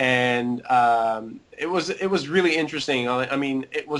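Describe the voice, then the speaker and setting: The man has an ordinary speaking voice, pitched fairly high, and its pitch varies in an ordinary way. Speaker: visa lottery winner client. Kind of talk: interview testimonial.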